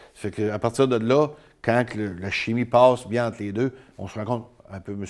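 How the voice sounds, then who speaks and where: A speaker with a Quebec accent talks at a moderate pace with fairly even intonation. The background is quiet. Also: man. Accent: rural Quebec French. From Île d'Orléans, Quebec. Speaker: mayor, former truck driver; mayor. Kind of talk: interview. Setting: studio. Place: studio.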